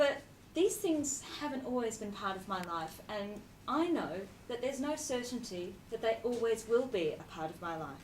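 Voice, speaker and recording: A woman speaks with an Australian accent, her pitch swinging very widely and her loudness rising and falling sharply. Room echo is audible. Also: fairly high pitch for a woman, moderate pace. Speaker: charity executive. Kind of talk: speech.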